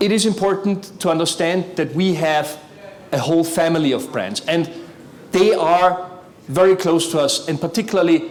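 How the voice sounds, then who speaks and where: This man speaks at a moderate pace with a non-native accent and a high pitch. Noticeable background noise and audible room echo surround him. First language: not English. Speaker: corporate sustainability executive. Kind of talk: conference talk.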